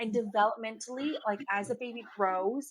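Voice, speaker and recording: A woman with a Canadian accent speaks at a moderate pace in a fairly high pitch. Her tone is animated. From Canada. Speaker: nurse and lactation consultant. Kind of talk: casual interview chat.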